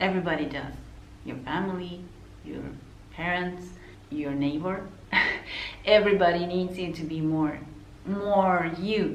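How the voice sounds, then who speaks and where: A woman with an Argentine accent at a fairly low pitch, fairly slow pace and fairly even intonation, with big swings in loudness and long, frequent pauses, amid noticeable background noise and audible room echo. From Argentina. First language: Spanish. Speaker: counselor. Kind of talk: casual talk to camera. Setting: unusual location between clients. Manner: conversational, with fillers.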